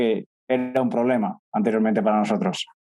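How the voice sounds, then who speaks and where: A man speaks in a Castilian accent at a fairly quick pace. His tone is dark and mellow. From central Spain (Castilla-La Mancha). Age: 20s. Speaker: startup co-founder. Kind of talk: interview conversation.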